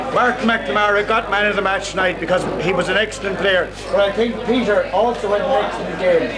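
A man at a fairly quick pace with ordinary pitch variation, over loud background noise. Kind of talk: introductions at a party. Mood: proud, celebratory. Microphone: old recording.

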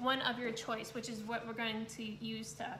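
Moderate pace, with audible room echo and light background noise. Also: woman. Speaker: art instructor. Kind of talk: tutorial. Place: home room. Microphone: phone near.

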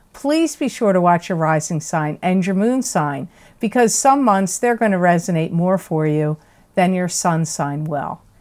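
The speech moves at a fairly slow pace with lively intonation. The background is quiet. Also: woman. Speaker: tarot reader. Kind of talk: casual vlog chat. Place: home room.

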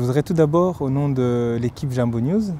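The sound is dry with no echo, there is light background noise, and the pace is moderate. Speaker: interviewer. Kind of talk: interview. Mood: calm, respectful, serious. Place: garden.

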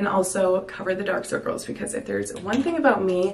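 Speaking very fast, a woman delivers her words. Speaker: beauty vlogger. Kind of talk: makeup tutorial chat. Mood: upbeat, enthusiastic. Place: bathroom. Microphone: camera far.

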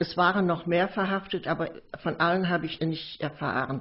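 Female speech, somewhat breathy, with fairly even intonation. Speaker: witness recounting memories of the Nazi era. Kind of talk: recorded memoir / oral history recollection.

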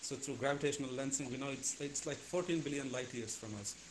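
Talking at a moderate pace, a man with a fairly high pitch is heard over light background noise. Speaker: physicist asking questions; questioner. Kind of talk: audience Q&A. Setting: video call. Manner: halting. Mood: playful, curious. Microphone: video call.

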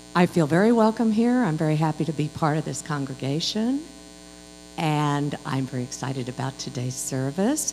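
A woman's very deep, low voice at a moderate pace, with light background noise. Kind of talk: welcome announcements. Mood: cheerful, welcoming. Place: church. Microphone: handheld.

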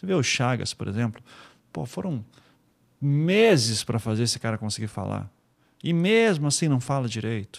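Against a quiet background, a man with lively intonation talks at a moderate pace, taking long, frequent pauses. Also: medium pitch for a man. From Curitiba, Paraná, Brazil; Paraná, Brazil. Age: 40s. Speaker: podcaster and investigative journalist; podcast guest. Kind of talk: interview conversation. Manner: relaxed. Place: studio. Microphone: studio mic.

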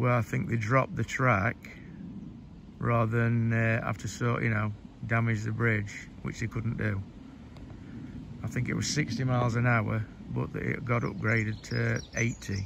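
A man speaks at a moderate pace with long, frequent pauses. The sound is dry with no echo, with noticeable background noise. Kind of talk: informal spoken guide commentary. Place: open country. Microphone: phone near.

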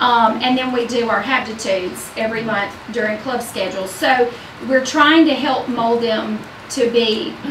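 Over noticeable background noise, a woman talks at a moderate pace. Her pitch is fairly high and her intonation fairly even. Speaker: school administrator reporting to school board. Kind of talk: informal spoken report, rambling. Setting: school board meeting. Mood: upbeat, enthusiastic. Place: meeting room.

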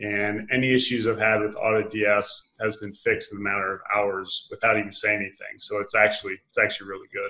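In an American accent, a man speaks fairly quickly with fairly even intonation. His fairly low voice has a bright, sharp tone against a quiet background. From United States. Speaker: dropshipper, online entrepreneur; interviewee. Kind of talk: interview. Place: home room. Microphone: video call.

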